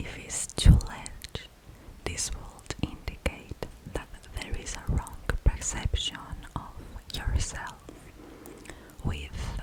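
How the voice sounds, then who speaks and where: A woman whispers very slowly, with noticeable background noise around her. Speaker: ASMR creator. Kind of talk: explaining a psychological drawing test. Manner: slow, hesitant, with pauses and fillers.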